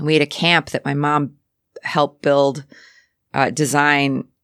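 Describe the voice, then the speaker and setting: This woman's voice has a very deep, low pitch. She speaks at a fairly slow pace. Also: very clean recording, silent background. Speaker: artist and radio host. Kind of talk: casual interview chat. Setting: radio studio.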